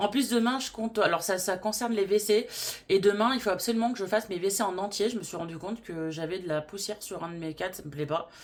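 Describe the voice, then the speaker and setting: Talking at a very fast pace, a woman with a medium pitch and ordinary pitch variation makes big swings in loudness. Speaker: vlogger. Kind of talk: casual vlog talk. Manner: hesitant, many fillers.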